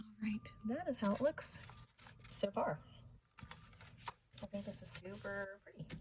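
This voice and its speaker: Lively intonation marks this woman's medium-pitched voice at a moderate pace. She leaves long, frequent pauses. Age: 30s. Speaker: craft YouTuber. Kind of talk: tutorial. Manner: casual, chatty.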